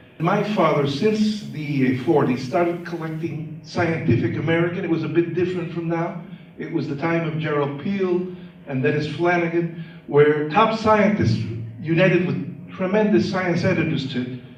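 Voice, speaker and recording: A man speaks at a moderate pace in a high voice with ordinary pitch variation, over noticeable background noise and with audible room echo. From Chicago until 11, then Cuba. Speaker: neuroscientist. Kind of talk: lecture.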